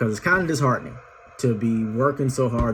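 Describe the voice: This is plain reading aloud, the pitch shifting by ordinary amounts.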